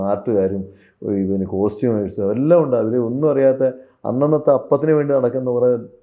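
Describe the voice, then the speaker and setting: Ordinary pitch variation marks this man's speech at a medium pitch. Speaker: film actor. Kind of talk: interview. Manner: halting.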